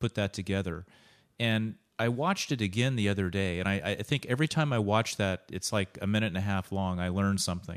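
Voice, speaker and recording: A man with an ordinary speaking voice, fairly low pitch and ordinary pitch variation, at a fairly quick pace on a very clean recording with a silent background. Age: 50s. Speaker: podcast host and wellness coach. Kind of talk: casual interview.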